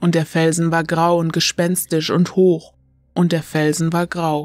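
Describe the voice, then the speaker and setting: A woman's fairly low voice, solemn and dramatic in tone, at a fairly slow pace. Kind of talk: dramatic narration of a gothic horror story, read aloud as an audiobook. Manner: slow, solemn and brooding, with eerie ominous emphasis and long dramatic pauses.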